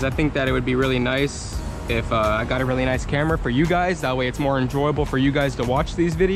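Clear music plays in the background as a man speaks at a very fast pace with hardly any pauses and ordinary pitch variation, the sound dry with no echo. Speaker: car enthusiast vlogger. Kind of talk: casual vlog chat. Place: car. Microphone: phone near.

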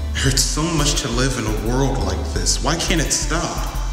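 Clear music plays in the background. A man speaks with audible room echo. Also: moderate pace. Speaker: spoken word poet. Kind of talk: spoken word poetry. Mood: sorrowful, pleading. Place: classroom.

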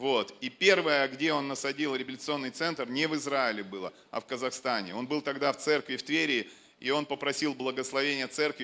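A man speaks at a moderate pace with a bright, sharp tone and ordinary pitch variation. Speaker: church leader introducing the preacher. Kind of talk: introduction speech to congregation. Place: stage. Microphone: handheld.

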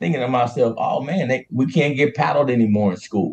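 This voice belongs to a man. His intonation moves in an ordinary way. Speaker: remote guest. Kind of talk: interview answer. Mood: earnest, opinionated. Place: office. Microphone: video call.

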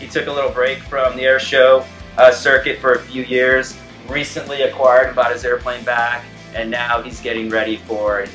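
Over faint background music, a man speaks at a moderate pace in a monotone, flat intonation. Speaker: family travel vlogger. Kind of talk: casual vlog chat. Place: hall.

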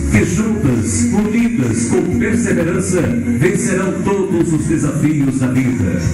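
A man at a very slow pace, with loud music in the background and audible room echo. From Brazil. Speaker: master of ceremonies. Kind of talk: event ceremony announcement. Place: hall.

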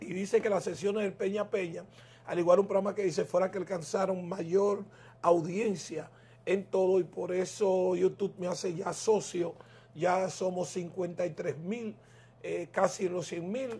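The speaker is a man with a high pitch. He talks at a fairly slow pace. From Dominican Republic. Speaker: political talk show host. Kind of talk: political interview. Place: home room. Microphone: lapel.

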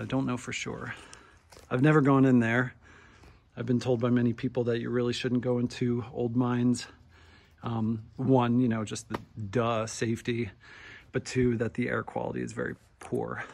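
Over light background noise, a man talks at a moderate pace in a monotone, flat intonation, with long, frequent pauses. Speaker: outdoor vlogger. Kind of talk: casual vlog chat. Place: forest. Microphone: phone near.

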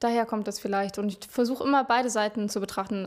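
At a fairly quick pace, a woman with a fairly high voice speaks with fairly even intonation against a quiet background. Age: 20s. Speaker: singer-songwriter; interviewee. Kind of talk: interview. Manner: hesitant, many filler sounds. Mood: thoughtful, calm. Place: office. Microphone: handheld.

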